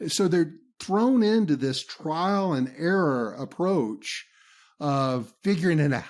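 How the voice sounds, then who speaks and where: In a very clean recording with a silent background, a man with a Southern US accent speaks at a very slow pace in a fairly high pitch, his loudness very even and his intonation lively. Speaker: business trainer and podcaster. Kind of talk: interview.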